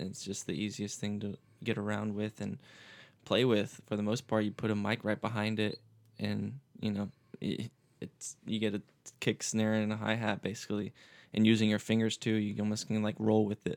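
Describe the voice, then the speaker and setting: In a very clean recording with a silent background, a man with an American accent talks at a moderate pace in a fairly low, monotone, flat voice. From Florida Panhandle (Pensacola), US South. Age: 20s. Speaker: musician. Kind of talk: casual chat.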